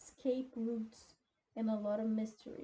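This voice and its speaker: A woman speaks with a non-native accent. Her voice is fairly high and somewhat breathy. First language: not English. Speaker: YouTuber. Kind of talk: casual explainer, partly reading aloud. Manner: halting.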